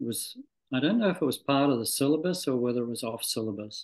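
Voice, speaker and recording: A man speaks with a Scottish accent. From Scotland. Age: 60s. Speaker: medical doctor. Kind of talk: interview. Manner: halting, many fillers and restarts.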